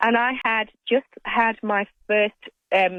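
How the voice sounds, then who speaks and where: A woman with a British accent talks at a very slow pace. Her pitch is fairly high, with ordinary variation. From United Kingdom. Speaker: librarian. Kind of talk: radio interview.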